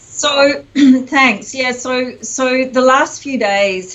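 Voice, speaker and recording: A woman with a New Zealand accent speaks at a very slow pace. Background noise is noticeable. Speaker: executive coach. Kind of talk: interview.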